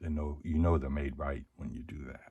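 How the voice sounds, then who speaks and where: Vocal fry marks this man's speech. His pitch is very deep and low. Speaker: locksport hobbyist. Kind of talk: tutorial. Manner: casual, some hesitations.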